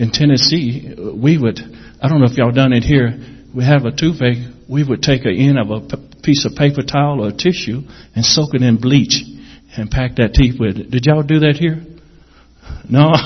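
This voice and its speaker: A man speaks at a moderate pace in a somewhat breathy voice, with long, frequent pauses. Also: medium pitch for a man, ordinary pitch variation. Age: 50s. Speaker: missionary. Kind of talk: testimony. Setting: church.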